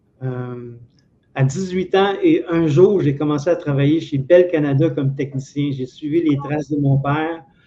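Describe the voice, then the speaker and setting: Fairly slow and with fairly even intonation, a man speaks at a fairly high pitch. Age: 60s. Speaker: former telephone technician. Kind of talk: interview.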